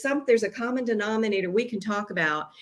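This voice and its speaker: A woman at a moderate pace. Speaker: business founder. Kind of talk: casual chat.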